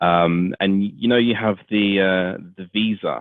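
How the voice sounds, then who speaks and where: His accent is British. The man's pitch moves in an ordinary way. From England. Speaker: podcast host. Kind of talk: interview. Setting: podcast.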